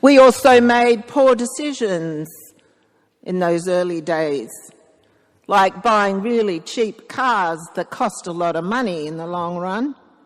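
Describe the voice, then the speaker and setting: A woman speaks very slowly in an Australian accent, her intonation lively. Her loudness swings widely from moment to moment. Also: medium pitch for a woman. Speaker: priest. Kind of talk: sermon. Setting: church.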